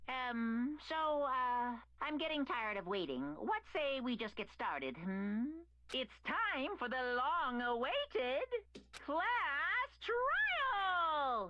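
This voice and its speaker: A female-sounding, put-on character voice speaks at a very slow pace with a high pitch over light background noise. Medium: video game. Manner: playful, theatrical.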